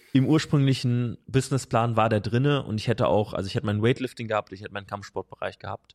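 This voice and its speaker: In a dry, close recording with no echo, a man with an ordinary speaking voice talks at a fairly quick pace, medium pitch and ordinary pitch variation. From Hesse, Germany. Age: 20s. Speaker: strength and conditioning coach. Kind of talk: casual interview. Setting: in person.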